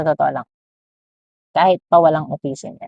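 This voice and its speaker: A woman's very deep, low voice with ordinary pitch variation, recorded dry and close with no echo. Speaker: parent vlogger. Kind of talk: personal vlog monologue.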